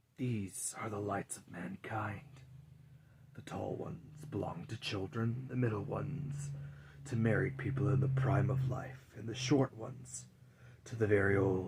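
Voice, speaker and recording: A man performs a put-on character voice. His loudness swings widely. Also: medium pitch for a man, moderate pace. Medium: read story. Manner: grave, menacing.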